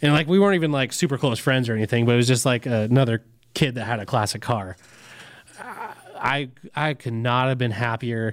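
A man with an American accent speaks in a normal speaking voice at a fairly quick pace. His pitch sits at a medium level and varies in an ordinary way. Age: 30s. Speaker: diesel podcast co-host. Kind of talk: casual chat.

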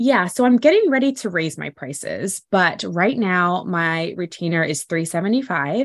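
This woman has a plain, everyday voice at medium pitch, with lively intonation. She talks at a moderate pace with hardly any pauses against a quiet background. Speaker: portrait photographer. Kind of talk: interview.

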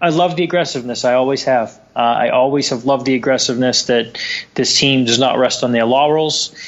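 At a fairly quick pace, a man with an American accent speaks at a medium pitch, keeping very even loudness and fairly even intonation.

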